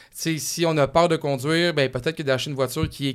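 A man talks with fairly high pitch and fairly even intonation. The recording is very clean, with a silent background. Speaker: radio car podcast host. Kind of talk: casual interview chat.

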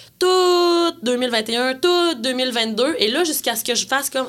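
Lively intonation marks a woman's high-pitched speech. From rural Quebec. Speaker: singer-songwriter. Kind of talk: interview conversation.

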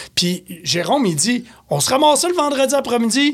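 A man with a Quebec accent talks at a fairly slow pace, his pitch swinging very widely. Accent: Québécois French. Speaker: beer columnist and store beer expert. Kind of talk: casual chat.

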